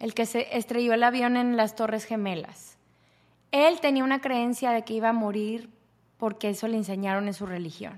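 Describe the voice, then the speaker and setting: This woman has an ordinary speaking voice with fairly high pitch. She talks at a moderate pace. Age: 30s. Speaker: podcast host, yoga and self-development teacher. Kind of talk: solo podcast talk on self-knowledge.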